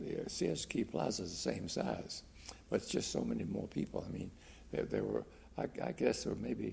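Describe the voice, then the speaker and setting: With an American accent, a man speaks at a moderate pace with vocal fry. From US South, Virginia. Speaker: retired doctor. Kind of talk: oral history interview. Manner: halting, many repetitions and fillers.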